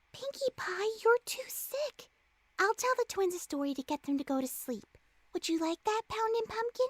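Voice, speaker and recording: In a put-on character voice, a woman speaks at an extremely high pitch with very wide pitch swings, recorded with a dry, close sound and no echo. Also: moderate pace. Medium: audio drama. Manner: soft, hesitant.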